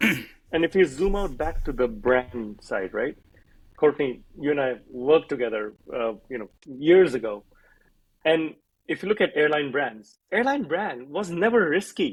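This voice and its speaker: A man with an Indian accent speaks at a fairly slow pace in a fairly high pitch, swinging through very wide pitch changes. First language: Hindi. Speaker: airline brand strategist and author. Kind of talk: casual chat.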